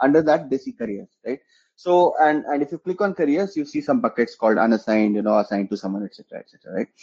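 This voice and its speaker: Very wide pitch swings mark a man's fairly high voice as he talks at a very fast pace. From India, Jharkhand. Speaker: startup founder and CEO. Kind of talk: interview.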